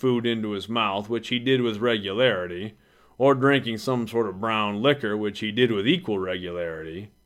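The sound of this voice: Pitch moves in an ordinary way through this unforced reading voice.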